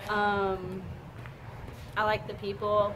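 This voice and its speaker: A woman talks while noticeable background noise runs behind her. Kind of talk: interview answer. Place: shop. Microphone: camera far.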